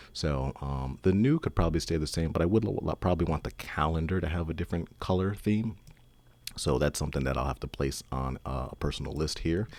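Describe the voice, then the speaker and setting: With vocal fry and ordinary pitch variation, a man speaks at a very deep, low pitch. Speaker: software developer. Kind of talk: tutorial. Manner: fast; halting.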